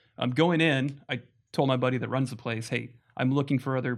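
A man with an American accent has an unremarkable speaking voice at a medium pitch. He talks at a fairly quick pace with fairly even intonation. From Las Vegas, US. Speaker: guest, husband. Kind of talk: casual interview chat.

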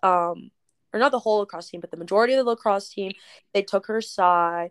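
A woman with a plain, everyday voice speaks at fairly high pitch and a fairly quick pace, with lively intonation. The recording is very clean, with a silent background, and the sound is dry and close with no echo. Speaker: podcast co-host. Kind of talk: casual chat.

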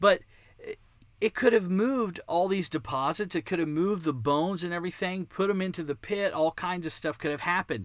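High-pitched male speech with a slight Texan accent, ordinary pitch variation, and a fairly quick pace. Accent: American, slight Texan. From Texas. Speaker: podcast host, creationist ministry founder. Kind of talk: casual monologue. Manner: animated.

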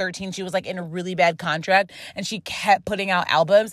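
Bright, sharp, and animated, a woman's voice comes through. She speaks at a moderate pace. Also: very clean recording, silent background. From Rochester, New York. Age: 30s. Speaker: podcast host. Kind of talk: casual solo podcast monologue. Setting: in a car. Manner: casual, chatty, animated.

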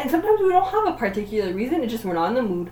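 Against noticeable background noise, a woman with a fairly high pitch talks very fast. Her pitch swings very widely. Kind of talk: casual chat. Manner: loud.

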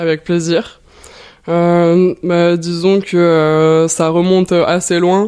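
A woman's fairly low, dark, mellow voice, monotone and flat in intonation, at a very slow pace. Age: 20s. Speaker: artist and entrepreneur. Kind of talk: interview.

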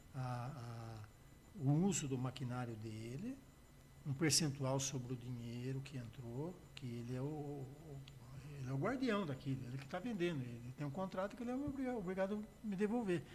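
At a moderate speed, a man's somewhat breathy voice moves with lively intonation. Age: 70s. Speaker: music producer and musician. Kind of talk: casual chat.

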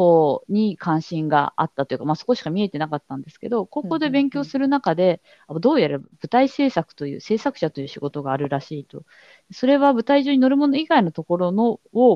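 A woman of medium pitch swings very widely in pitch and greatly in loudness. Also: fairly quick pace. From Kanagawa, Japan (Hadano). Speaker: theatre producer / arts manager. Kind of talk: casual interview conversation.

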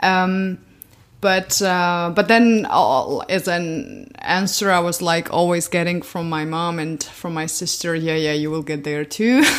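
Speaking in a Georgian accent, a woman uses a fairly low pitch with ordinary variation. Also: fairly slow pace. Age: 20s. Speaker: podcast guest. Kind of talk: casual interview conversation.

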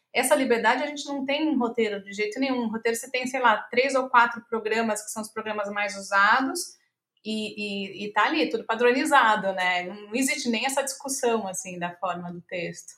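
A woman's bright, sharp voice, fairly high in pitch with ordinary variation, at a moderate pace with hardly any pauses and big swings in loudness. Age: 40s. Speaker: screenwriter and playwright. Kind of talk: interview conversation.

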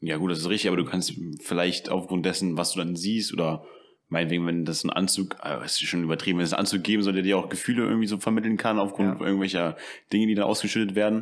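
Very fast and very deep, a man's low-pitched voice races along. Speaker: podcast host. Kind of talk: casual chat. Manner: animated.

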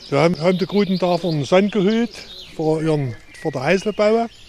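A man with a Saxon accent and a high pitch speaks at a moderate pace with lively intonation, with noticeable background noise behind him. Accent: Erzgebirge Saxon dialect. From Erzgebirge, Saxony. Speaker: hiking guide. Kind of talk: guided tour talk.

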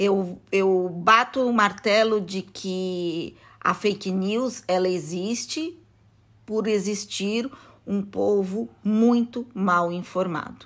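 Very slow speech from a woman in a Brazilian accent, medium in pitch with ordinary variation. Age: 50s. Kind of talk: interview. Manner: halting.

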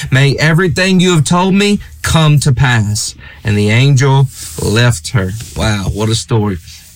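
A man's medium-pitched voice with an American accent, very wide pitch swings and very even loudness amid noticeable background noise. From USA. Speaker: preacher. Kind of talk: sermon.

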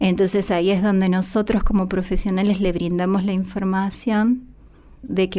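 Her pitch is medium and her tone dark and mellow. The woman keeps a moderate pace. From Argentina, Santiago del Estero. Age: 30s. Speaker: psychologist. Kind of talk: interview testimony.

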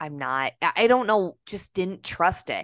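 Against a quiet background, a woman with an American accent talks at a moderate pace with lively intonation. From Minnesota, US. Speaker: actor and comedian. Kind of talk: casual chat. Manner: animated.

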